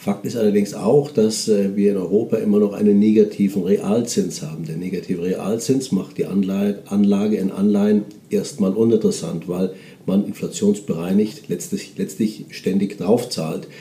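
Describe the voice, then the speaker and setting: His voice sits fairly low. The man shows ordinary pitch variation. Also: moderate pace. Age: 50s. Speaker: portfolio manager. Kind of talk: interview. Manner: hesitant with fillers.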